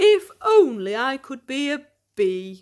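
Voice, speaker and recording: A woman's high, put-on character voice with very wide pitch swings, at a fairly slow pace. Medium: read story.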